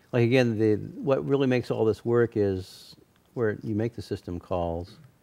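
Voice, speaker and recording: A man's fairly low voice, dark and mellow in tone, with ordinary pitch variation. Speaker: software developer presenting at user group. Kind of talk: technical presentation Q&A. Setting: office meeting room with audience. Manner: fast.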